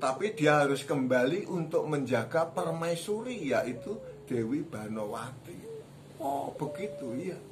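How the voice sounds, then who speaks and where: The man talks fairly slowly while background noise is noticeable. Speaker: storyteller. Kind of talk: storytelling narration. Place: home room. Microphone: phone near.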